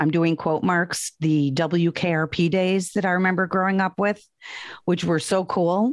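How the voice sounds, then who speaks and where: Here is a woman with a fairly low pitch. She speaks at a moderate pace. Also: quiet background. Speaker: radio traffic reporter and podcaster. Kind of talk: casual chat. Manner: animated.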